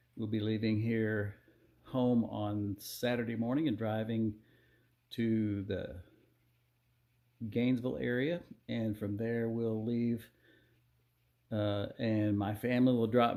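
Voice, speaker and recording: A man at a fairly slow pace, medium pitch and fairly even intonation. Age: 60s. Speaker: retired teacher and hiker vlogger. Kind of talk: casual video log.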